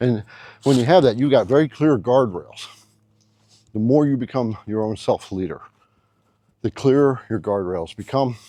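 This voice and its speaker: A man speaks at a moderate pace with a medium pitch, a dark, mellow tone and ordinary pitch variation. He leaves long, frequent pauses against a quiet background. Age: 60s. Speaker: relationship advice YouTuber. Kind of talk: casual advice monologue. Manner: conversational with fillers and repetitions.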